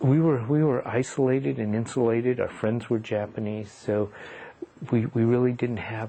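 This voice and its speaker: With a Pacific Northwest accent, a man speaks at a moderate pace and fairly low pitch with ordinary pitch variation. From US Pacific Northwest, Seattle. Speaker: retired educator and activist. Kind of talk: oral history interview.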